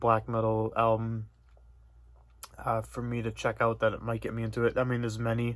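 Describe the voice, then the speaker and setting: A man mumbling at a fairly quick pace, medium in pitch. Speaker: metal music YouTuber. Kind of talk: casual vlog monologue. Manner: monotone.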